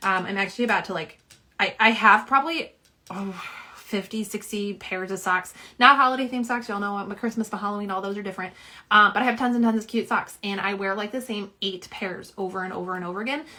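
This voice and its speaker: A woman at a very fast pace, medium in pitch with ordinary variation and a slight Southern US accent. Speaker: nail polish swatcher and live streamer. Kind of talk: casual live-stream chat. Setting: live stream at home. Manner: chatty, many fillers.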